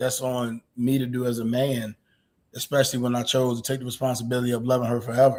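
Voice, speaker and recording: A man's medium-pitched voice at a very fast pace, in a monotone, flat intonation. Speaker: married husband sharing experience. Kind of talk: casual chat. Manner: loud.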